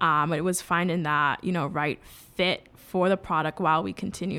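In a very clean recording with a silent background, a woman with an American accent speaks at a moderate pace in a bright, sharp tone, her pitch fairly low with ordinary variation. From New York City, the Bronx. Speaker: blockchain startup founder. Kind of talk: interview.

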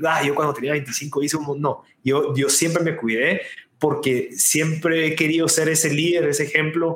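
The speaker is a man. His pitch sits fairly high. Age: 20s. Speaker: entrepreneur and podcast producer. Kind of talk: interview. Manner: animated.

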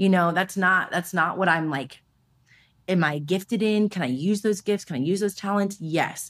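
A woman's medium-pitched voice with a Californian accent, ordinary pitch variation, and a moderate pace, in a very clean recording with a silent background. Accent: Californian American English. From US West Coast, Los Angeles. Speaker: business founder. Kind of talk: casual interview chat. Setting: in-person recording.

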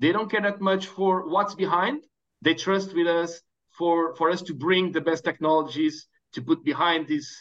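With a Portuguese accent, a man speaks at a moderate pace. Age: 30s. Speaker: startup founder. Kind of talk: interview.

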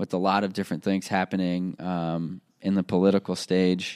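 A man speaks at a moderate pace in a monotone, flat voice with a very deep, low pitch. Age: 20s. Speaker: podcast host. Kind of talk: solo motivational podcast monologue. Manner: casual with frequent fillers.

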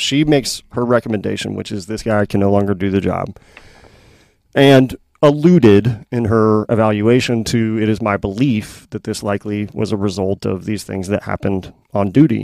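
On a very clean recording with a silent background, a man with an American accent and an ordinary speaking voice talks at a moderate pace, fairly low in pitch, with ordinary pitch variation. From Missouri, Kansas City area. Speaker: retired police officer. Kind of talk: casual chat.

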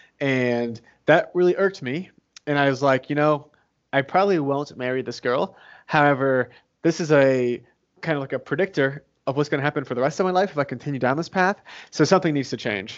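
A man talks at a fairly quick pace with ordinary pitch variation. He has an unremarkable speaking voice. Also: fairly high pitch for a man. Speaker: real estate investor and author. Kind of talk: interview.

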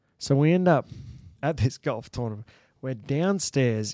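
Lively intonation from a man with an Australian accent, a dark, mellow tone, and a very clean recording with a silent background. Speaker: former bull rider and cow horse trainer. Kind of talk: casual chat, storytelling. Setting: studio.

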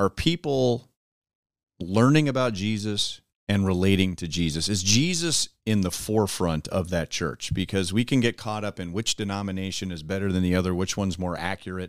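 A man with an American accent speaks at a moderate pace and fairly low pitch, with ordinary pitch variation and a normal speaking voice. The recording is very clean and silent in the background, with a dry, close sound and no echo. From US West Coast, Los Angeles. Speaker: baseball broadcaster. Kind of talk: casual chat.

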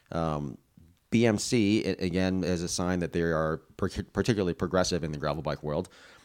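A man speaks at a very deep, low pitch and a fairly quick pace, with ordinary pitch variation. The recording is very clean, the background silent. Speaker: cycling podcast host. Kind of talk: casual banter, tech discussion. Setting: on location in Sedona.

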